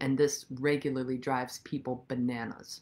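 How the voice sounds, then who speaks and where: A woman talks at a fairly slow pace in a very deep, low pitch. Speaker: senior dharma teacher. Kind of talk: dharma talk. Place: home room. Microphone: phone near.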